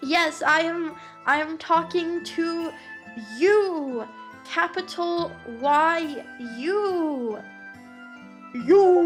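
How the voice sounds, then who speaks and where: Using a put-on character voice, a woman speaks at a very slow pace with long, frequent pauses while clear music plays in the background. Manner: gruff.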